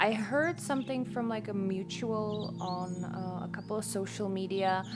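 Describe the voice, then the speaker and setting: A soft-spoken woman with music in the background. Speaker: oracle deck creator and witch. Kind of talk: casual talk to camera. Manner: slow, casual.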